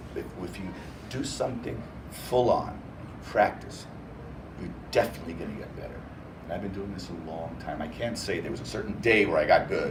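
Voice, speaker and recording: The speech moves at a fairly quick pace with long, frequent pauses and big swings in loudness, amid noticeable background noise and audible room echo. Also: man. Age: 60s. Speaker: professional storyteller. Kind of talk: interview answers to a child. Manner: animated.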